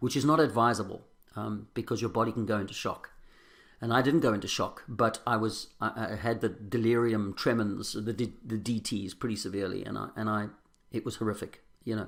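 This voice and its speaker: In a South African accent, a man talks fairly quickly with a fairly low pitch and fairly even intonation. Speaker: recovering alcoholic sharing his story. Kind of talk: testimony. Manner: halting.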